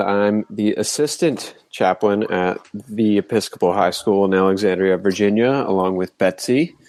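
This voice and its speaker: A man with a normal speaking voice and a fairly low pitch talks at a moderate pace with hardly any pauses, very even loudness and ordinary pitch variation, in a very clean recording with a silent background. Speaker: assistant school chaplain, priest. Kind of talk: casual podcast chat.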